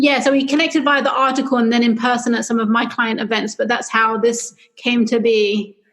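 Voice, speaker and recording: Speaking fairly quickly with very even loudness, a woman with a London accent has a high-pitched voice. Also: fairly even intonation. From London, England. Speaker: publicist. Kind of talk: interview.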